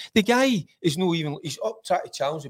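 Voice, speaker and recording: In a Glasgow accent, a man with a high pitch speaks at a moderate pace with very wide pitch swings. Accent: Scottish (Glasgow). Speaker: football pundit, former player. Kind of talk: casual football chat. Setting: studio.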